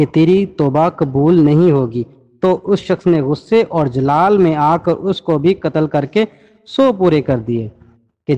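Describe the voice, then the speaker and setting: Here a man speaks in a normal speaking voice. His fairly high pitch shows ordinary pitch variation. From Pakistan. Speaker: voice-over artist. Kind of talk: religious story narration.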